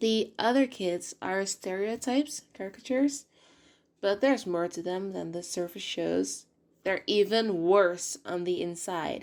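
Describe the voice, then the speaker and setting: In a very clean recording with a silent background, a woman speaks at a medium pitch with ordinary pitch variation. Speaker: video essayist. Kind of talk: video essay commentary. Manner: halting at times.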